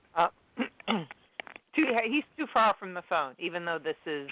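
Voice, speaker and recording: At a fairly slow pace, a woman speaks at a fairly low pitch with lively intonation. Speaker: caller. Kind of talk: casual chat. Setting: phone call. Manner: halting. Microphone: speakerphone.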